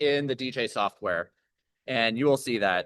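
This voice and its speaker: A man's fairly high-pitched voice over a quiet background. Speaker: DJ workshop instructor. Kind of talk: tutorial. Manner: loud.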